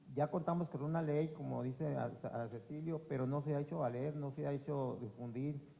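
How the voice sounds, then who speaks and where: His intonation is fairly even. The man keeps his speech at a moderate pace. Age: 60s. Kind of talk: public forum testimony. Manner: halting, with repetitions.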